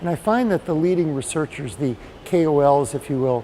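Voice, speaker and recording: Noticeable background noise surrounds a man speaking with an American accent. His pitch is fairly high and his intonation lively. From United States. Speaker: patient advocate. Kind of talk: interview.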